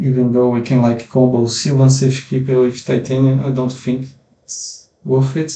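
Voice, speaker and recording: A man with a medium-pitched voice speaks in a space with audible room echo. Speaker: gaming content creator. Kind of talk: gameplay commentary. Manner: halting, many fillers.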